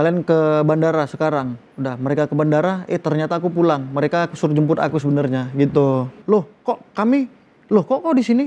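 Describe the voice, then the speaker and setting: A man's dark, mellow tone at a fairly high pitch, with ordinary pitch variation and a fairly quick pace. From Medan, North Sumatra. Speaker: film actor. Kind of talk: interview. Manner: animated storytelling.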